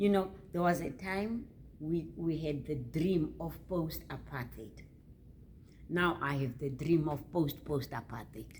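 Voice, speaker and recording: Amid audible room echo, a woman with a very deep, low voice and vocal fry speaks at a fairly slow pace with lively intonation. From South Africa. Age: 80s+. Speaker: author. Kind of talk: interview. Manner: halting, with repetitions.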